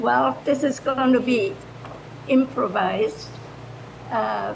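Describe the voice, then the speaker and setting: Against noticeable background noise, a woman talks at a very slow pace. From Germany. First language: German. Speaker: retired foreign language teacher. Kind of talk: improvised public comment.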